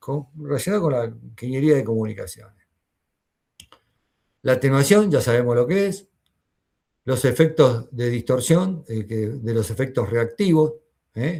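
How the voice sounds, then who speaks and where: A man's dark, mellow, somewhat breathy voice over a quiet background. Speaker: university lecturer. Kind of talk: lecture.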